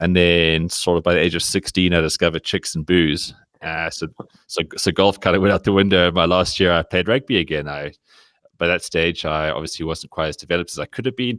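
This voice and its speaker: With a South African accent, a man speaks at a fairly quick pace and a very deep, low pitch, showing ordinary pitch variation, in a dry, close sound with no echo. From South Africa, Cape Town. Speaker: sports blogger. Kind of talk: podcast interview. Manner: halting, many fillers and restarts.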